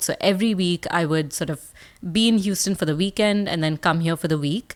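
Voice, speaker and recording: A woman's fairly low-pitched voice with an Indian accent and lively intonation, in a very clean recording with a silent background. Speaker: speaker and communication coach. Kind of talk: podcast interview. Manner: animated.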